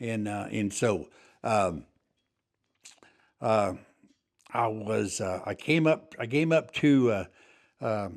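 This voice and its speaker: With long, frequent pauses, a man with a West Texas accent speaks at a very slow pace in a fairly low voice with lively intonation. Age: 70s. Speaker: farrier and war veteran. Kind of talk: interview. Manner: halting.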